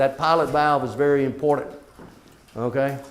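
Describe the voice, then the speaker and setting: A man talks at a moderate speed, and the room's echo is audible around him. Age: 60s. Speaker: water systems trainer. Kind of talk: lecture. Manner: casual, conversational.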